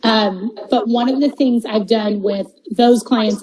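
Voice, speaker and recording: Noticeable background noise sits behind a woman whose pitch is fairly high, speaking at a fairly slow pace with ordinary pitch variation. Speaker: events agency founder. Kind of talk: interview. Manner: loud, over the top; halting, many fillers.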